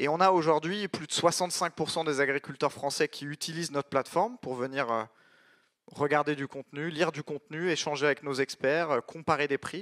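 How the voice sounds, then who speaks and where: This man has an ordinary speaking voice, fairly high for a man, with ordinary pitch variation and a fairly quick pace, captured in a very clean, dry, close recording with no echo and a silent background. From France, Paris region. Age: 30s. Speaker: startup founder. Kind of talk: conference talk.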